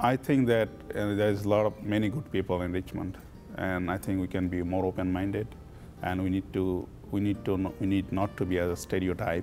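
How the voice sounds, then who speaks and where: With music in the background, a man with a Bangladeshi accent talks at a fairly quick pace in a very deep, low voice with fairly even intonation. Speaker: business owner, immigrant. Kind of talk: interview. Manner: halting.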